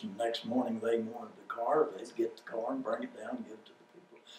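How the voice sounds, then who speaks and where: With an American accent, a man talks at a very fast pace. Noticeable background noise can be heard. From Oklahoma (Claremore). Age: 70s. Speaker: oral history interviewee. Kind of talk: oral history interview.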